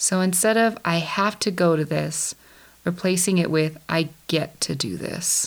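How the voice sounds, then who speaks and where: A woman with a plain, everyday voice talks at a fairly slow pace, her pitch fairly low with ordinary pitch variation. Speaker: podcast host. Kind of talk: guided meditation. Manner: calm, slow, soothing; gentle, instructive.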